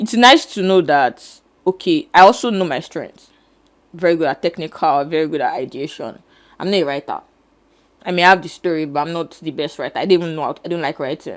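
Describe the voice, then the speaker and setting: On a very clean recording with a silent background, an unremarkable speaking voice moves fairly quickly with ordinary pitch variation. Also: woman, fairly low pitch for a woman. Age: 20s. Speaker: filmmaker. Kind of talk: interview.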